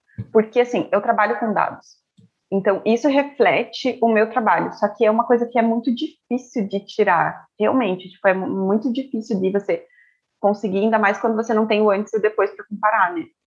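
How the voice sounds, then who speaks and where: The pitch variation here is ordinary. It is an ordinary speaking voice moving at a fairly quick pace. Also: woman, fairly high pitch for a woman. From Brazil, Curitiba. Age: 20s. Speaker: statistician and data analyst. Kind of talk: casual interview.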